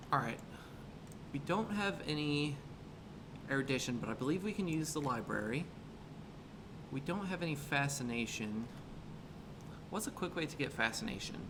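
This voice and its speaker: A man with a fairly high pitch speaks with lively intonation and long, frequent pauses, with noticeable background noise and audible room echo. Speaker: gaming streamer. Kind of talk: live gameplay commentary. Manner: fast; animated.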